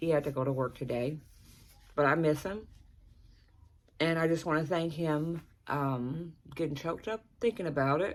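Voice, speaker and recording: This woman's voice sits very deep and low, with ordinary pitch variation. She talks at a moderate pace with long, frequent pauses. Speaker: vlogger. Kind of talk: personal vlog. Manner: halting.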